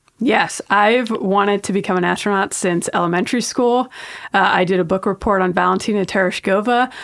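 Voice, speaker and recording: Fairly quick speech comes from a woman with an American accent. Her pitch is medium and her intonation fairly even. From New York. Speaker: astronaut. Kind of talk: interview.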